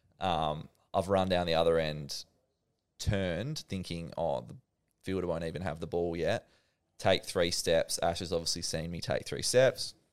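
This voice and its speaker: A man with an Australian accent at a moderate pace, on a very clean recording with a silent background. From Western Australia, Perth. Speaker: professional cricketer. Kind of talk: casual interview.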